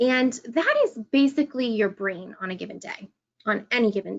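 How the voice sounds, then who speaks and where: Her intonation is lively as this woman talks at a fairly slow pace. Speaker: epilepsy educator and trainer. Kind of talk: training presentation.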